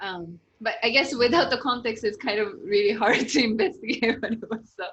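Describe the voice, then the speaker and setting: The speaker has a Japanese accent and a fairly quick pace. The intonation is lively. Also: woman, fairly high pitch for a woman. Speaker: interviewer, channel host. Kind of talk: casual interview chat.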